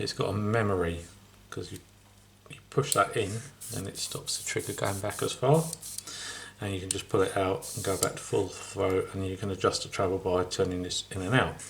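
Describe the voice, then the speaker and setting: Mumbling, a man speaks at a moderate pace. His loudness swings widely. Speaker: scale model builder. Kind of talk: tutorial.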